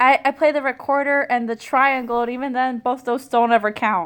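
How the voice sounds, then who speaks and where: A woman with a high pitch talks at a moderate pace, her intonation fairly even. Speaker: podcast co-host. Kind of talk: casual chat.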